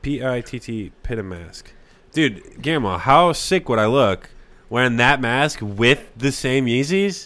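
A man speaks at a fairly slow pace in a medium pitch, his intonation lively and his tone bright and sharp. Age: 20s. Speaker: podcast co-host. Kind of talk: casual chat. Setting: home kitchen studio.

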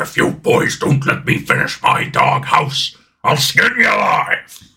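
A man speaks at a fairly slow pace in a raspy, put-on character voice. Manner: gruff, threatening.

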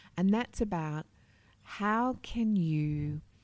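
Speaking very slowly, a woman lets her intonation stay lively. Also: very clean recording, silent background. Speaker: communications executive. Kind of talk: interview. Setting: conference venue.

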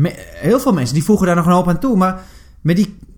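A man's high-pitched voice with lively intonation. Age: 30s. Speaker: podcast co-host. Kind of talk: casual chat. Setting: studio.

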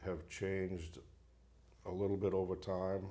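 A man's very deep, low voice has a dark, mellow tone and is somewhat breathy, with audible room echo. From Maine, Bangor. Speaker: fisheries biologist. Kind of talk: casual interview. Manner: halting, many fillers.

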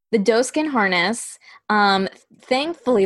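Over a quiet background, the plain reading aloud carries lively intonation.

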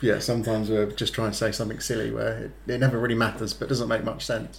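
A man with an English accent talks at a very fast pace with hardly any pauses. His medium-pitched voice has vocal fry and a monotone, flat intonation. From England. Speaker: boyfriend guest. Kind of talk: casual chat.

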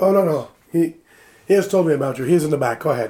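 A man's raspy, put-on character voice, fairly high in pitch and very fast. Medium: actual play.

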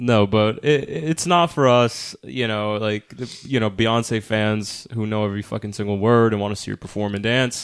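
In a plain, everyday voice, a man speaks at a moderate pace and a fairly low pitch, with ordinary pitch variation and hardly any pauses. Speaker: film podcast co-host. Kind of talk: casual chat.

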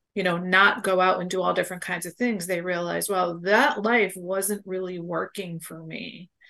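Bright, sharp female tone at medium pitch, moderate pace and fairly even intonation. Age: 60s. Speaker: boundaries coach and podcaster. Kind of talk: radio interview.

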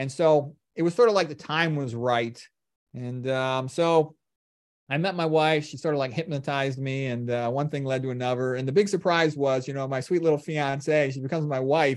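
With an unremarkable speaking voice, a man speaks at a moderate pace with a fairly high pitch and fairly even intonation against a quiet background. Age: 50s. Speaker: medical doctor. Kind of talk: lecture; casual chat. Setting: video call.

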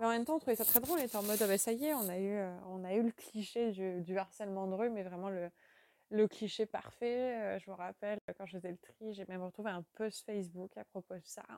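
Dry and close with no echo, a woman's dark, mellow voice moves at a fairly quick pace with ordinary pitch variation. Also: medium pitch for a woman. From western France. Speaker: contributor sharing testimony. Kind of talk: voice message testimony.

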